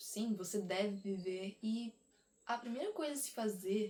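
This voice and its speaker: Somewhat breathy and fairly high in pitch, a woman speaks at a very slow pace with ordinary pitch variation. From Brazil. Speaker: vlogger. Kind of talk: casual monologue to camera.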